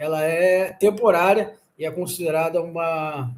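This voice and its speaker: This man's voice is high in pitch. Audible room echo surrounds it. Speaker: exam-prep law teacher. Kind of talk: lecture. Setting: live stream.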